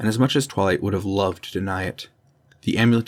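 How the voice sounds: Natural voice, reading aloud.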